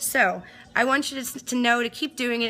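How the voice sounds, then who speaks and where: A woman's animated tone over noticeable background noise. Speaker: DJ and live streamer. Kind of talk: casual live-stream chat. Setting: home studio, live stream. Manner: fast.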